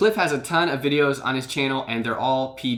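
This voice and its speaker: A man with a medium pitch and lively intonation uses a normal speaking voice. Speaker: YouTube channel host and commentator on street preachers. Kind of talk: casual talk to camera.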